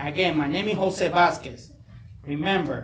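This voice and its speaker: Against noticeable background noise and audible room echo, a high-pitched man with a non-native accent speaks at a moderate pace with ordinary pitch variation. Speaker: political candidate. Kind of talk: candidate forum closing statement.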